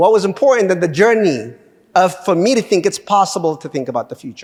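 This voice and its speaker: Talking at a very fast pace, a man with a high-pitched voice sounds animated. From Ethiopia. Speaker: government official, guest speaker. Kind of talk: lecture. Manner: halting.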